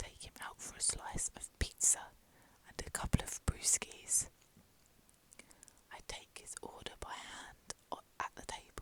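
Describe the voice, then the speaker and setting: A woman whispers at a fairly slow pace with long, frequent pauses and big swings in loudness, over noticeable background noise. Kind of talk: ASMR whispered reading aloud of a fan guide. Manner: whispered.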